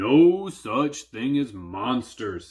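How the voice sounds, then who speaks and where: A man speaks in a put-on character voice. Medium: read story. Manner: gruff, stammering when scared.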